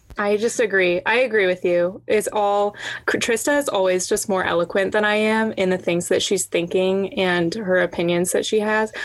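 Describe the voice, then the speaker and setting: A woman of medium pitch talks at a moderate pace with hardly any pauses. Her intonation is fairly even, her loudness very even, and there is noticeable background noise. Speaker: podcast host. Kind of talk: casual chat. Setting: video call.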